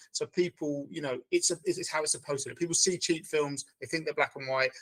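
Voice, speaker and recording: A man talks at a very fast pace with a British accent. The sound is dry and close, with no echo. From Britain. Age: 40s. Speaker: film teacher and director. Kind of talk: interview. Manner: halting.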